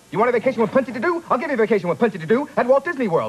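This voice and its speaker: A man's voice over noticeable background noise. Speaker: voice actor. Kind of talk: TV commercial read. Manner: extremely fast.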